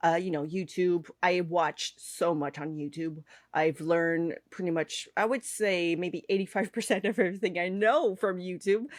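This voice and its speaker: Here a woman talks in a Quebec accent with ordinary pitch variation. The recording is very clean, with a silent background. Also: fairly low pitch for a woman, moderate pace, hardly any pauses. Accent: French Canadian accent in English. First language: French. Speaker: cake artist and online instructor. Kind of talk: podcast interview. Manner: hesitant, many fillers.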